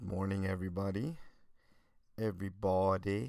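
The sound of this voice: Low-pitched and dark, mellow in tone, a man speaks at a moderate pace with vocal fry and fairly even intonation.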